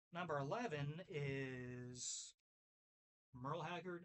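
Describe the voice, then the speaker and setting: This man has a Kentucky accent and a fairly high pitch. His pitch varies in an ordinary way. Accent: Kentucky twang. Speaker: music video creator, record reviewer. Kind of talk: casual vinyl review video. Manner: halting, self-correcting when reading titles.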